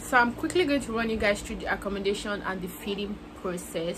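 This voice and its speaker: Someone with a Nigerian accent speaks over noticeable background noise. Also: woman. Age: young. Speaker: university student. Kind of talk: casual talk to camera.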